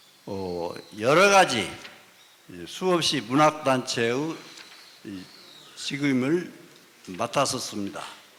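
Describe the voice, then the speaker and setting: A man at a medium pitch, very slow, with long, frequent pauses and very wide pitch swings, over noticeable background noise. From Gochang, North Jeolla, Korea. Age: 70s. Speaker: retired professor, writer. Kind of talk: self-introduction at a symposium.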